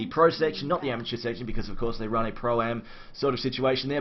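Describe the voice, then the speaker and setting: Here a man with an Australian accent talks at a very fast pace. He has a medium pitch and ordinary pitch variation. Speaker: esports caster. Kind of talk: live commentary. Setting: live stream.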